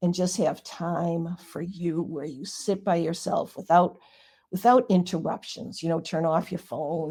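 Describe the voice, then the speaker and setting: A woman with a fairly low pitch, a dark, mellow tone and a somewhat breathy voice speaks at a fairly slow pace with ordinary pitch variation, on a very clean recording with a silent background. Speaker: Reiki master and author. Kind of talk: interview.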